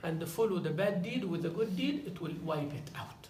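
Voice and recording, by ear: With strong room echo around him, a man speaks at a fairly high pitch with vocal fry, lively intonation and a slightly mellow tone.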